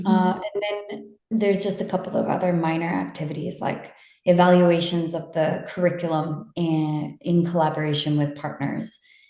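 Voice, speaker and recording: A woman with a normal speaking voice and an American accent, fairly low pitch, fairly even intonation, moderate pace and hardly any pauses. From United States. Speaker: international partnerships manager. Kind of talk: interview answer.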